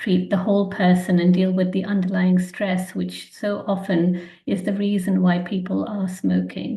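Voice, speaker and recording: Speaking at a moderate pace with an English accent, a woman has a medium pitch and a dark, mellow, somewhat breathy tone. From England, London. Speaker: physician. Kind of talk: webinar presentation. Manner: hesitant, frequent ums.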